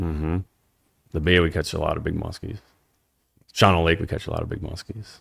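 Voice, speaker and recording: Speaking with a Wisconsin accent, a man with a very deep, low pitch talks at a fairly quick pace, his intonation fairly even and broken by long, frequent pauses. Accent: Upper Midwest (Wisconsin). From northeastern Wisconsin. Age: 40s. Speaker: angler and social media fisherman. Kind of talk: casual interview chat.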